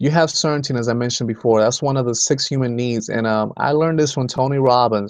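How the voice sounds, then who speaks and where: Ordinary pitch variation and a fairly quick pace mark this voice in a Spanish accent. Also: man. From Dominican Republic. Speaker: home business team co-founder. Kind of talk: motivational talk. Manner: many fillers and false starts.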